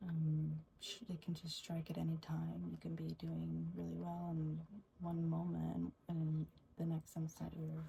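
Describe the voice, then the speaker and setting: Soft-spoken, a woman talks at a fairly slow pace. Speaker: ASMR creator's sister. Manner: soft-spoken, reflective.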